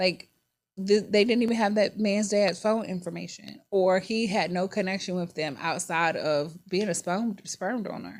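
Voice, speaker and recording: Speaking with a Virginia accent, a woman uses a medium pitch at a moderate pace. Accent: country Virginia. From Virginia, US. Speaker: podcast host. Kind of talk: casual personal monologue. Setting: studio. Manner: animated.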